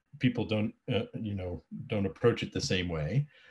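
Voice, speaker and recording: With a quiet background, a man speaks at a moderate pace with lively intonation. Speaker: presenter. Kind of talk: lecture. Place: home room. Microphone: webcam.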